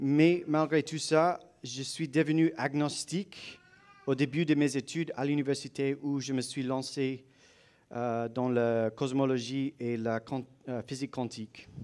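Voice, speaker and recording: A man with a non-native accent speaks at a very slow pace, at a fairly high pitch, with fairly even intonation. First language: not French (speaking French). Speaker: guest speaker, apologetics presenter. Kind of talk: lecture. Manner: halting.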